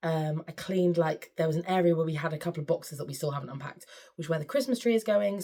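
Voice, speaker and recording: With an English accent, a woman speaks at a very fast pace, her tone dark and mellow, her pitch fairly low with ordinary variation. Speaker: sewing vlogger and choir leader. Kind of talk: casual vlog chat.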